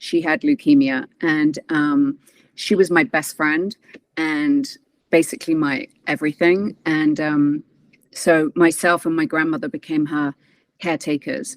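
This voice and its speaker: In a British accent, a woman speaks fairly slowly with a very deep, low pitch and lively intonation, the sound dry and close with no echo. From England. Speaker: transformation and mindset coach, former actress. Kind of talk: interview testimony.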